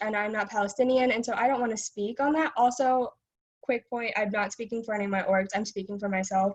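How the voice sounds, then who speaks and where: Speaking with ordinary pitch variation, a woman has a fairly high voice. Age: 20s. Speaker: public commenter, student. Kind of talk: public comment at meeting. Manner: fast; halting, many fillers.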